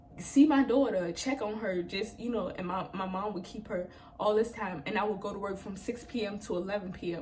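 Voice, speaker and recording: A woman's animated, medium-pitched voice at a fairly quick pace, with ordinary pitch variation, noticeable background noise and audible room echo. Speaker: hairstylist and vlogger. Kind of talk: personal testimony vlog.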